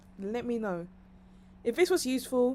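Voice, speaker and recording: A woman speaks with a London accent and a dark, mellow tone. Her pitch swings very widely. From London, England. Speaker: streamer and online marketing commentator. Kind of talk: live stream monologue. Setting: live stream. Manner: rambling, chatty.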